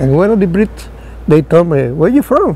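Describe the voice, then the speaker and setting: Through noticeable background noise, a man speaks at a fairly high pitch with a strong Spanish accent. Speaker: war veteran pilot. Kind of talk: interview. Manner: halting, repetitive.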